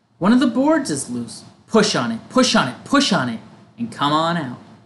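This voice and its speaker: Putting on a character voice, a man speaks high for a man at a moderate pace, his pitch swinging very widely. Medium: read story. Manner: fast, repetitive, chattering.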